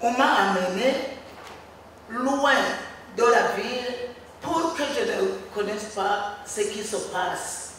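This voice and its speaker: Speaking very slowly with long, frequent pauses, a woman uses a fairly high voice with ordinary pitch variation. Strong room echo and light background noise are present. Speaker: mother of a taken child. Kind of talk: testimony. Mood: earnest, recounting childhood. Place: hall.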